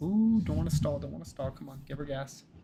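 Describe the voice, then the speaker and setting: A soft-spoken man with a dark, mellow tone and vocal fry makes very wide pitch swings. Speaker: gaming streamer. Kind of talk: casual chat. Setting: live stream. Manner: calm.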